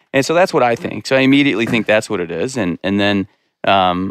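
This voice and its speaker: Someone with an American accent talks at a very fast pace with ordinary pitch variation, in a very clean, dry, close recording with no echo and a silent background. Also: man. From Montana, US (Bozeman area). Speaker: chef and food entrepreneur, electrical injury survivor. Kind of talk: casual interview. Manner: halting, many fillers.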